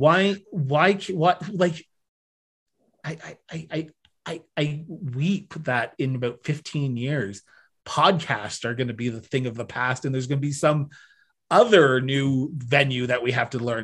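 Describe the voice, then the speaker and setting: With a Canadian accent and an unremarkable speaking voice, a man speaks at a fairly slow pace and a fairly high pitch, showing ordinary pitch variation and big swings in loudness, in a very clean recording with a silent background. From Ontario, Canada. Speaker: podcast host and former political staffer. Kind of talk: casual interview conversation.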